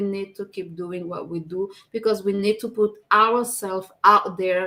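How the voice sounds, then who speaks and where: A woman at a fairly slow pace, in a strong French accent. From France. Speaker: live show co-host and business owner. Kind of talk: casual live chat.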